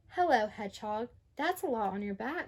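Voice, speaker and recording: Using a croaky, put-on character voice, a woman speaks at a moderate pace and fairly high pitch. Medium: read story.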